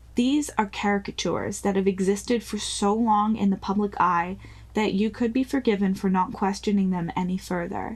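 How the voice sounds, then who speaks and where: At a moderate pace, a woman speaks in a somewhat breathy voice at medium pitch with fairly even intonation, on a very clean recording with a silent background. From New Zealand. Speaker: podcast host. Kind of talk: scripted narration.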